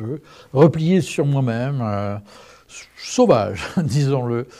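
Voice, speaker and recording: A man's dark, mellow voice sits at a medium pitch with ordinary variation. The recording is very clean, with a silent background. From southern France. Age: 60s. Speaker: testimony speaker. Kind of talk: testimony.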